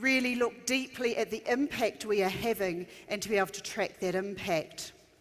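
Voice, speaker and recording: With a New Zealand accent, a woman talks at a fairly slow pace in a fairly high pitch with ordinary pitch variation. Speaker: education consultant. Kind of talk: conference keynote. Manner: frequent um fillers.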